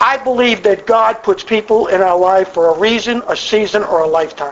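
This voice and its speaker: A man's high-pitched voice at a fairly quick pace, with ordinary pitch variation and very even loudness, over noticeable background noise. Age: 60s. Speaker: AA speaker. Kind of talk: testimony. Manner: animated.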